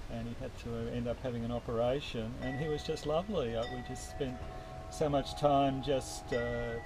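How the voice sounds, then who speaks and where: A man is talking with audible room echo. Music plays in the background. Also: moderate pace. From Australia (Melbourne). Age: 50s. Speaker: university tutor. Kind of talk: interview. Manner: hesitant, many fillers.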